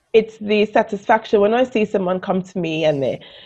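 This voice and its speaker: Fairly quick and dark, mellow in tone, a woman speaks with a Caribbean accent. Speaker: business coach. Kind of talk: interview.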